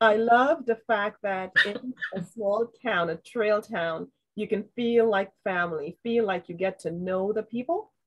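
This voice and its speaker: In a Trinidadian accent, a woman speaks at medium pitch and a fairly slow pace with ordinary pitch variation. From Trinidad, raised in New York. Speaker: trail and community advocate. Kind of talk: panel discussion.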